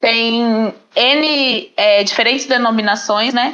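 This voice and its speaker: Her voice is a normal speaking voice, and this woman keeps a fairly high pitch that varies in an ordinary way. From Paraná, southern Brazil. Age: 20s. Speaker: podcast guest, teacher. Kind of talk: podcast interview.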